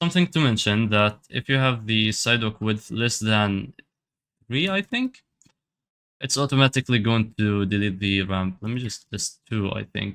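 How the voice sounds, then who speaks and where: A man's fairly low voice with a non-native accent, ordinary pitch variation and a moderate pace. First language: not English. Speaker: addon developer. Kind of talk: software tutorial. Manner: casual, hesitant with fillers.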